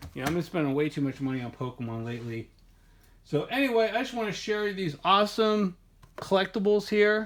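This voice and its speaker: Speaking at a fairly quick pace, a man uses a high pitch that moves in very wide swings. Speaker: Pokemon card collector and video creator. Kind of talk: casual product showcase video. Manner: fast; rambling with filler words and self-corrections.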